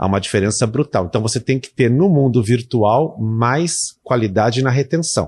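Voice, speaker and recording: A man's somewhat breathy, medium-pitched voice at a moderate pace, with ordinary pitch variation, hardly any pauses and a quiet background. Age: 50s. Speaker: university lecturer and online course creator. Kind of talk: casual interview.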